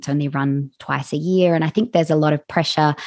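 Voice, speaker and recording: Very fast and fairly even in intonation, a woman speaks at a very deep, low pitch, her sound dry and close with no echo against a quiet background. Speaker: podcast host. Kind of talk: interview chat.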